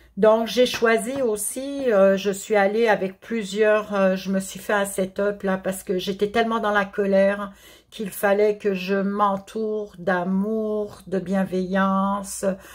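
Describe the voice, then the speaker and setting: With a Quebec accent, a woman talks at a very slow pace with hardly any pauses and a monotone, flat intonation. The recording is very clean, with a silent background. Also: medium pitch for a woman. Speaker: therapist and card reader. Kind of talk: tarot-style spiritual guidance. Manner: halting, stammering.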